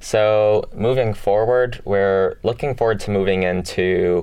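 This man has a fairly low voice with a dark, mellow tone. He speaks very slowly, with ordinary pitch variation. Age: young. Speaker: music startup founder. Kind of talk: radio interview. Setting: radio studio. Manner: hesitant, many fillers.

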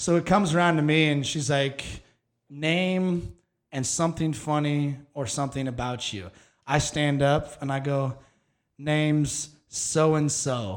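A man with an American accent talks at a fairly slow pace in a plain, everyday voice. His pitch is fairly high, with ordinary pitch variation. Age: 30s. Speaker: podcast host. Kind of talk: casual chat.

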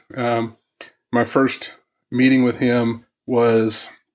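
With an American accent, a man speaks at medium pitch in a monotone, flat intonation. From US Midwest, Southwest Missouri. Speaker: youth minister and former game company owner. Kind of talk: casual interview conversation.

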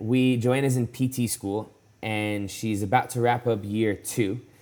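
Speaking at a fairly slow pace, a man uses a normal speaking voice at medium pitch. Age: 20s. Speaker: professional CrossFit athlete. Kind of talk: casual interview chat. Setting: remote call from home.

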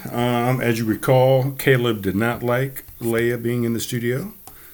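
A man speaks at a mid-range pitch, with noticeable noise in the background. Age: 40s. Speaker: solo podcast host. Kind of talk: casual monologue. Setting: home studio.

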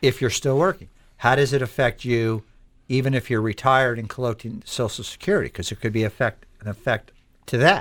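A plain, everyday voice from a man at a medium pitch, with ordinary pitch variation, a fairly quick pace and a very clean recording with a silent background. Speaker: financial advisor, radio host. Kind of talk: informative talk show discussion.

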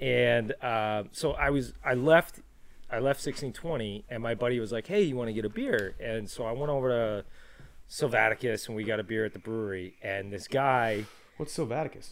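Ordinary pitch variation marks a man with a plain, everyday voice. He talks at a moderate pace. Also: medium pitch for a man. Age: 30s. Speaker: podcast host. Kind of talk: casual chat.

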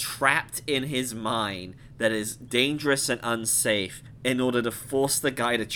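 The text is read aloud plainly.

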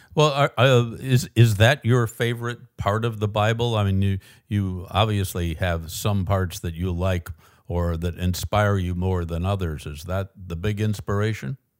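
A man with an unremarkable speaking voice talks at a moderate pace in a fairly low pitch. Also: ordinary pitch variation. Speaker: podcast host. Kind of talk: interview. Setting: remote call from New York.

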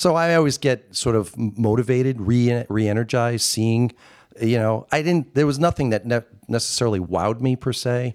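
A man talks at a fairly quick pace in an unremarkable speaking voice, medium in pitch with ordinary pitch variation and very even loudness, on a very clean recording with a silent background and a dry, close sound with no echo. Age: 50s. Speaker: video producer. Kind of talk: casual chat. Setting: hotel suite in Las Vegas, on location.

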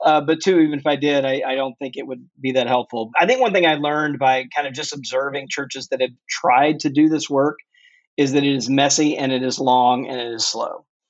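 Speaking in a normal speaking voice, a man with an American accent talks at a fairly quick pace with a fairly high pitch and fairly even intonation. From US South, Mississippi. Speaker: author. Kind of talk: interview.

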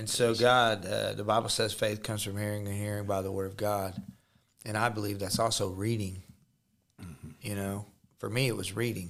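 With a Midwestern US accent, a man talks at a moderate pace in a fairly low pitch. His intonation is monotone and flat, with long, frequent pauses. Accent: US Midwest. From Missouri. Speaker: podcast host, ministry leader. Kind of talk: faith interview.

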